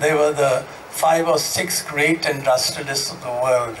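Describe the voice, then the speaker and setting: Light background noise sits behind a man speaking with an Indian accent. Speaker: former tennis player. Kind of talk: panel discussion. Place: stage. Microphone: handheld.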